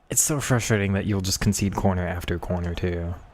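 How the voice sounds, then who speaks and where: The pace is fairly quick, with ordinary pitch variation. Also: man. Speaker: gaming streamer. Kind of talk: live gameplay commentary. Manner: lazy casual.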